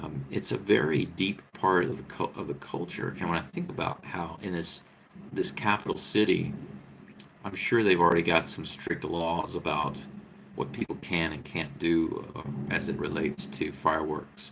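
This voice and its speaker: A very deep, low-pitched man with an American accent, ordinary pitch variation and a moderate pace. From United States. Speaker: vlogger. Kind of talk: casual live-stream monologue. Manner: halting, many fillers and repetitions.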